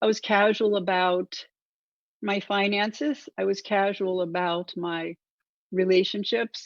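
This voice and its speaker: A woman at a fairly slow pace and medium pitch, ordinary pitch variation, in a dry, close sound with no echo. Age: 60s. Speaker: motivational speaker. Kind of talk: motivational talk. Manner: many filler words.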